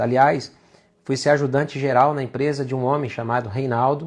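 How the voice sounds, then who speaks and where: Against a quiet background, a man with a medium pitch talks at a fairly quick pace with fairly even intonation. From Brazil, São Paulo city. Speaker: faith and work speaker. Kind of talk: live talk, personal testimony. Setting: livestream.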